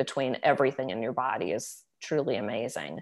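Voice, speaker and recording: A woman's very deep, low voice at a moderate pace, with ordinary pitch variation and a quiet background. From Virginia, US. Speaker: former teacher, wellness product seller. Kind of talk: casual interview, product pitch. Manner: conversational, friendly.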